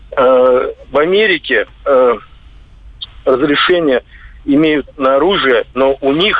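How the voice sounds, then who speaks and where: Through noticeable background noise, a man speaks in a fairly high pitch with ordinary pitch variation. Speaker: radio caller. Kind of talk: call-in comment. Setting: phone call.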